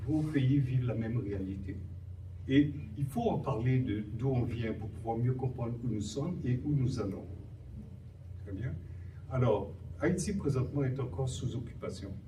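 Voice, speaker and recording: A man speaks at a medium pitch and a fairly slow pace, with long, frequent pauses. His pitch varies in an ordinary way, and the room echo is audible. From Haiti. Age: 60s. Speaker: human rights activist. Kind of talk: panel talk.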